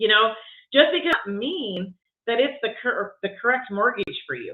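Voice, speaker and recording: A woman speaks in a high voice with very wide pitch swings. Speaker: real estate vlogger. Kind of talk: live stream talk. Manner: fast; halting.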